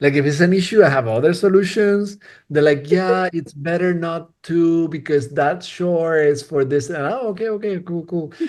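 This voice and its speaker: In an animated tone, a man talks at a moderate pace with a high pitch and lively intonation. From Spain. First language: Spanish. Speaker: cinematographer. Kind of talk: casual interview chat. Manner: animated, halting with repetitions.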